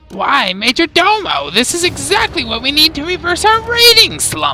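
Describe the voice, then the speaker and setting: Over clear music in the background, a put-on character voice at an extremely high pitch moves along at a moderate pace. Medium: read story. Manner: grandiose, callous.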